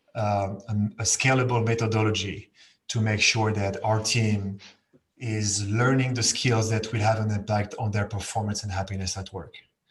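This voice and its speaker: In a French accent, a man speaks with monotone, flat intonation at a moderate pace. His voice is fairly low and somewhat breathy. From France. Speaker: learning and development director. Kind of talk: panel discussion.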